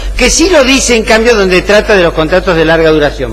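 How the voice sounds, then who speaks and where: A man speaks with music playing behind him. The room echo is audible. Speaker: law professor. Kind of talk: lecture. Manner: frequent fillers (eh, ¿mm? ¿tá?).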